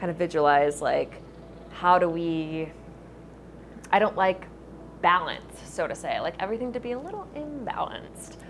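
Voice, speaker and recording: A woman with an American accent, lively intonation, long, frequent pauses and noticeable background noise. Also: medium pitch for a woman, moderate pace. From US South, Memphis, Tennessee. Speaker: barista and artist. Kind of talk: casual interview. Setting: coffee shop.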